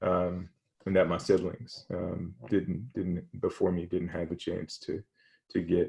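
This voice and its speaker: A man with an American accent speaks at a fairly slow pace, his pitch very deep and low. His tone is dark and mellow, somewhat breathy, with monotone, flat intonation. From Virginia, US (Hampton). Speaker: athletics administrator, former football player. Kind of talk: interview. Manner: halting, many fillers and repetitions.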